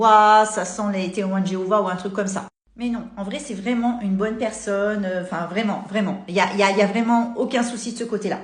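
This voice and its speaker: Over audible room echo, a woman of medium pitch talks at a fairly quick pace. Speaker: content creator. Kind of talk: storytelling to camera. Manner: animated.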